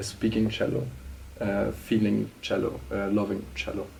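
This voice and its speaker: A man with a German accent at a moderate pace. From Germany. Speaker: political scientist and writer. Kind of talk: interview. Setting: studio. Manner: halting, many fillers and restarts.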